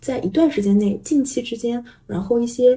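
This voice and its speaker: A woman speaks in a dark, mellow, gentle tone that is somewhat breathy. Her pitch varies in an ordinary way. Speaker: tarot reader. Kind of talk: casual interview. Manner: gentle, many fillers.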